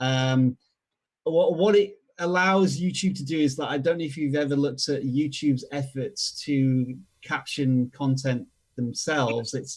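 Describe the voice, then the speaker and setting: A man with a Yorkshire accent speaks at a fairly high pitch and fairly slow pace, somewhat breathy, with ordinary pitch variation. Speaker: video strategy expert. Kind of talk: tutorial. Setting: live stream.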